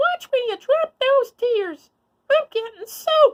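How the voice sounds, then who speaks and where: A put-on character voice, squeaky and extremely high, at a fairly slow pace. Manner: cross, scolding.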